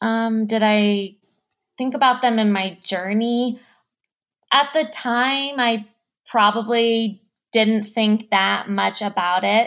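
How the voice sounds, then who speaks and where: A woman with an American accent at a fairly high pitch, with fairly even intonation, a very slow pace and long, frequent pauses. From Denver, Colorado. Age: 30s. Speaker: marketing professional. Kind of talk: casual interview.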